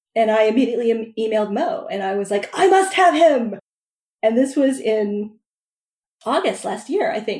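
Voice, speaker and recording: A woman with a dark, mellow tone and a fairly high pitch. Her intonation is lively, and she talks at a moderate pace. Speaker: podcast host and romance author. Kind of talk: casual interview. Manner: laughs a lot.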